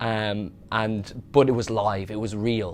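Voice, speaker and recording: In a Dublin accent, a man speaks with fairly even intonation and a fairly low pitch. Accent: Dublin Irish. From Ireland, County Dublin. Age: 20s. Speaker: wrestling fan. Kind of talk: documentary interview.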